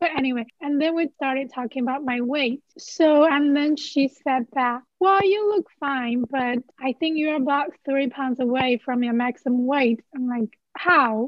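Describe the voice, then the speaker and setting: A woman with a Chinese accent speaks high and at a fairly slow pace, with ordinary pitch variation. She hardly pauses at all. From Henan, China. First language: Mandarin Chinese. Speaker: PhD student. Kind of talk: casual interview conversation.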